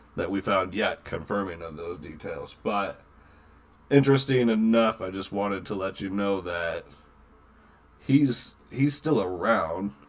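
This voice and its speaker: A man puts on a raspy character voice at a fairly low pitch. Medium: actual play.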